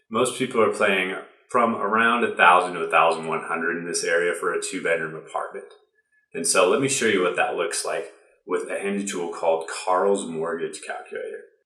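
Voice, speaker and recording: Audible room echo surrounds a man with an American accent who speaks at a fairly quick pace. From US Midwest (Ohio). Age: 20s. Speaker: video creator. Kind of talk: explainer vlog.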